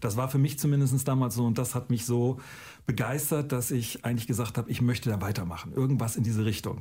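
A man speaks very fast at a medium pitch. His tone is dark and mellow, and somewhat breathy. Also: ordinary pitch variation. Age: 50s. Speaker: teacher. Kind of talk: recorded testimony.

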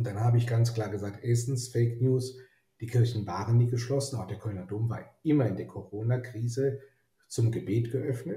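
A somewhat breathy man at a medium pitch, with fairly even intonation and a moderate pace. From Germany, Rhineland (Neuss). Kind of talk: interview. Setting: online call from his office.

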